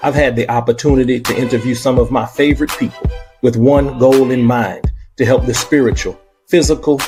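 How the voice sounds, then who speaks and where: A man talks rather briskly while music runs behind him. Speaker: podcast host. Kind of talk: podcast welcome intro.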